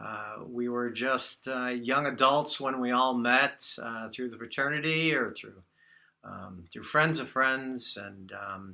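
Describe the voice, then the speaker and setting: Very slow delivery from a man at a medium pitch, bright and sharp in tone, with ordinary pitch variation and big swings in loudness. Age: 60s. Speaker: birthday celebrant giving a speech. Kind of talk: speech at a party. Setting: party with guests. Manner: halting, many fillers.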